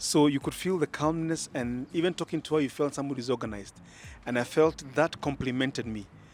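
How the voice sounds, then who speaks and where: This man talks very fast with a Kenyan accent, his pitch fairly high and its variation ordinary. The recording is very clean, with a silent background. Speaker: engaged church member, Sunday school teacher. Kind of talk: casual interview. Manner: loud; animated.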